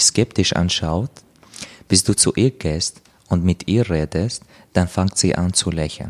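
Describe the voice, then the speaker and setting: With an Arabic accent, a man speaks at a fairly slow pace in a very deep, low pitch, the sound dry and close with no echo. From Syria, Damascus. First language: Arabic (speaking German). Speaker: author. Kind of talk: interview. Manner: halting.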